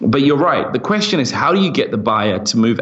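Against noticeable background noise, a man with a fairly high voice and an American accent speaks with lively intonation. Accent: British with slight American twang. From London, England. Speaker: startup founder. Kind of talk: casual interview. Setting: remote call.

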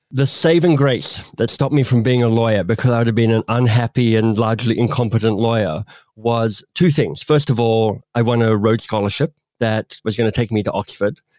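In a very clean recording with a silent background, a man with an Australian accent talks fairly quickly at a medium pitch with ordinary pitch variation. The sound is dry and close with no echo, and his loudness stays very even. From Australia (Canberra). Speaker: author and coach. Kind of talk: interview conversation.

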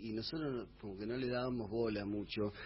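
A man speaks at a moderate pace in a medium pitch. His voice is somewhat breathy, with fairly even intonation. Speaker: bass player. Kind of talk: radio interview.

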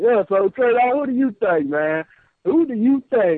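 A man's voice with lively intonation. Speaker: caller. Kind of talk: casual chat. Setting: phone call. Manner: joking.

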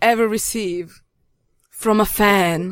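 A woman's fairly high-pitched voice with a Yugoslavian accent, in a very clean recording with a silent background. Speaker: radio host. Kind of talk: casual chat.

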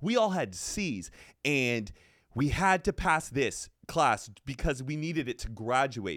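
A man with a fairly high pitch and vocal fry talks very slowly, his pitch swinging very widely, on a very clean recording with a silent background. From Texas. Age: 30s. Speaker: podcaster. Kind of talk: casual chat.

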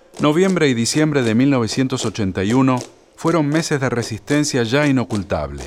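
With lively intonation, a man speaks fairly slowly at a medium pitch in an ordinary speaking voice. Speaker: documentary narrator. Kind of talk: scripted narration.

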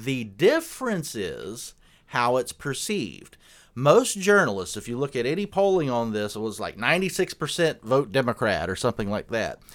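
Loud and with an American accent, a man of medium pitch speaks at a moderate pace with very wide pitch swings, on a very clean recording with a silent background. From South Carolina. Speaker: conservative political commentator. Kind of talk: casual political interview.

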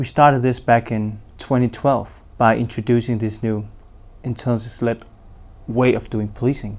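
A man's monotone, flat delivery broken by long, frequent pauses. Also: medium pitch for a man, moderate pace. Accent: Danish. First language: Danish. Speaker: police intelligence program manager. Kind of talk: interview.

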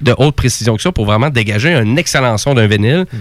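A man speaks with a Quebec accent. His pace is very fast. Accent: Québécois French. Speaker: radio co-host. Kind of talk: casual chat.

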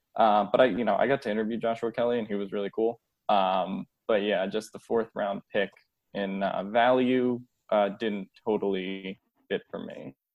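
In an American accent, a man talks at a moderate pace with a fairly low pitch and fairly even intonation. His is an unremarkable speaking voice. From Philadelphia / New Jersey, US. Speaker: sports writer. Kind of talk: casual chat.

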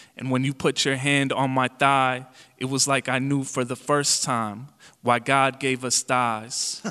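In an American accent, a man with a medium pitch and a bright, sharp tone speaks at a fairly slow pace with monotone, flat intonation. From Chicago suburbs, Illinois. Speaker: poet. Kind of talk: interview.

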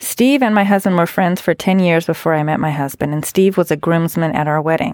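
Very clean recording, silent background, and a woman with a normal speaking voice at a fairly low pitch. She talks at a fairly quick pace with ordinary pitch variation. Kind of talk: casual chat.

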